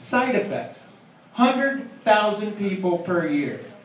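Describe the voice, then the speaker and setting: The man here uses lively intonation. Light background noise and audible room echo come through. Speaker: stand-up comedian. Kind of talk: stand-up comedy routine. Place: stage. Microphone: pa.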